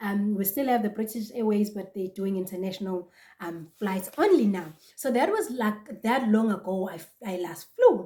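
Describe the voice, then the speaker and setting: At a moderate pace, a woman speaks in a dark, mellow, somewhat breathy voice of medium pitch, with ordinary pitch variation and big swings in loudness. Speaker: vlogger. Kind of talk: casual vlog talk to camera.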